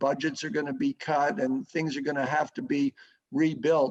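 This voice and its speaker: A man with a normal speaking voice talks at a moderate pace, his pitch fairly high. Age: 60s. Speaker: sports association executive. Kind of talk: interview.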